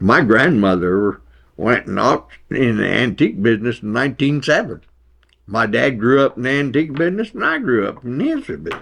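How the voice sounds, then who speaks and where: This voice, with an American accent and vocal fry, moves at a fairly quick pace with lively intonation. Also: man, medium pitch for a man. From Kansas. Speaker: retired auctioneer and former newspaper editor. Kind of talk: oral history interview. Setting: interview.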